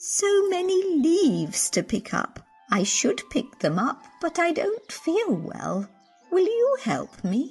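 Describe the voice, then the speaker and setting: In a cartoonish character voice, a woman speaks at an extremely high pitch with very wide pitch swings, very even loudness and a fairly slow pace, with faint music in the background. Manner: warm, gentle.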